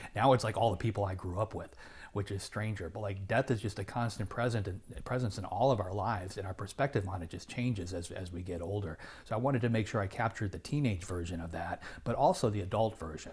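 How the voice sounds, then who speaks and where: On a very clean recording with a silent background, a man with an American accent and a fairly low pitch talks at a very fast pace, sounding somewhat breathy. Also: ordinary pitch variation. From Illinois, US Midwest. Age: 50s. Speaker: novelist. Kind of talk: interview. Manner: halting, many fillers and repeats.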